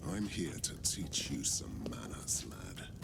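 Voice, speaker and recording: Over loud background noise, a put-on character voice whispers at a fairly slow pace. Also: man. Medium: video game. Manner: gruff, blunt.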